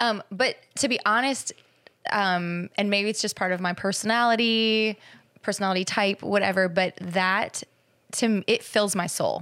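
Delivered at a moderate pace, an unremarkable speaking voice keeps fairly even intonation and very even loudness on a very clean recording with a silent background. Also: woman, medium pitch for a woman. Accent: American. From Minnesota. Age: 40s. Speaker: fitness trainer and gym co-owner. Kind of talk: personal testimony interview.

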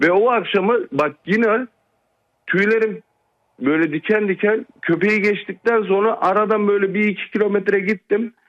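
This man's high-pitched voice moves at a moderate pace with ordinary pitch variation and very even loudness, in a dry, close sound with no echo. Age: 40s. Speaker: caller. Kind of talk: telling a personal story.

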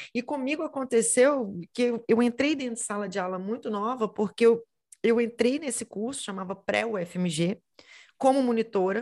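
A woman's plain, everyday voice, fairly high-pitched, with ordinary pitch variation, a moderate pace and a quiet background. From Minas Gerais, Brazil (Belo Horizonte). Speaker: teacher. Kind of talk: interview.

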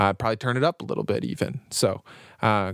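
A man with a normal speaking voice, fairly low in pitch, with ordinary pitch variation and a moderate pace, in a dry, close sound with no echo on a very clean recording with a silent background. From Canada. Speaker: podcast host and music reviewer. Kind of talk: casual chat, music review podcast. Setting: home basement. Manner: talkative, jokey, casual.

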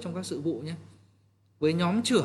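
A man talks at a moderate pace. His voice sits at a fairly high pitch. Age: 30s. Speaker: real estate team leader. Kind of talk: training talk. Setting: livestream. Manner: halting, many fillers.

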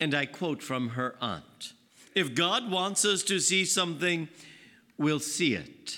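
At a very slow pace, a man with a fairly high voice and vocal fry speaks with lively intonation. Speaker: priest. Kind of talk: homily; story narration, recounting a novel's plot in an even, storyteller's cadence. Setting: church. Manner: measured, warm and steady, like a storyteller; formal, unhurried.

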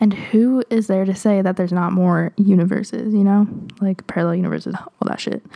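At a moderate pace, a woman of medium pitch talks with fairly even intonation and a dark, mellow tone.

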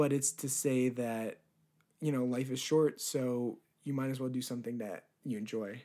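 The voice has a dark, mellow tone and an American accent, recorded very cleanly against a silent background. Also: man. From New Jersey. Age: 20s. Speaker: filmmaker and YouTuber. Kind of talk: casual interview. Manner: halting, many fillers.

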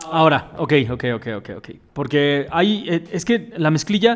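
Using a normal speaking voice, a man talks fairly slowly with lively intonation and a fairly high pitch. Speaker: podcast host. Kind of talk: casual chat.

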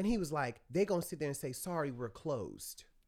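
A man with an American accent, animated and bright, sharp in tone, at a very fast pace. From US South. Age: 30s. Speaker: songwriter. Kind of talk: casual chat.

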